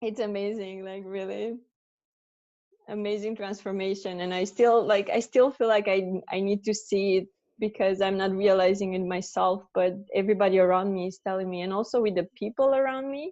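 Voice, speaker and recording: A woman speaks at a moderate pace with a Romanian accent. Her pitch is medium and her intonation fairly even. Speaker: coaching client. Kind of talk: testimony. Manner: loud; expressive.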